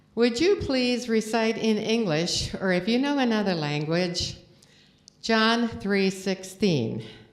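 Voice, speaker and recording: A woman speaks at a medium pitch with lively intonation, and the room echo is audible. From Estonia. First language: Estonian. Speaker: guest preacher. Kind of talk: sermon. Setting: church.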